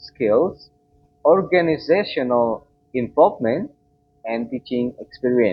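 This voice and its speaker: This man talks with an Indonesian accent. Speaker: student. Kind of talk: class presentation. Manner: formal.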